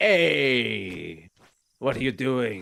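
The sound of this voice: A man at a medium pitch performs a put-on character voice.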